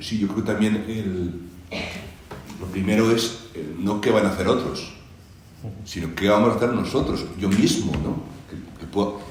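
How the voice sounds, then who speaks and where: Fairly low-pitched and at a moderate pace, a man speaks with fairly even intonation and long, frequent pauses amid noticeable background noise and audible room echo. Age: 60s. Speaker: church charity representative. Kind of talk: panel discussion. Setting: presentation hall with audience.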